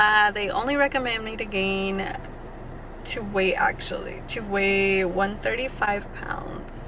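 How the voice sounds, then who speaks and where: Through audible room echo and noticeable background noise, a woman speaks at a fairly slow pace and medium pitch with ordinary pitch variation. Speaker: vlogger. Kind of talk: casual chat. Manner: stumbling.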